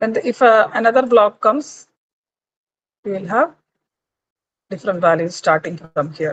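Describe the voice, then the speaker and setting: A woman with a Keralan accent speaks at a fairly high pitch with lively intonation, in a dry, close sound with no echo. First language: Malayalam. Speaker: lecturer. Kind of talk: lecture. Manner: slow.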